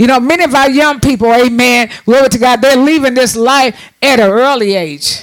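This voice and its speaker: A man speaks at an extremely high pitch with lively intonation and an animated tone over noticeable background noise. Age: 60s. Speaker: preacher. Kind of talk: sermon. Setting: church.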